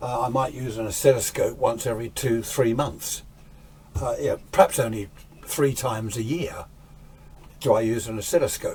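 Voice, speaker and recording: With an English accent, a man speaks at medium pitch. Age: 60s. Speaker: radio restorer and amateur radio hobbyist. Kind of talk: casual vlog talk. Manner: rambling, hesitant.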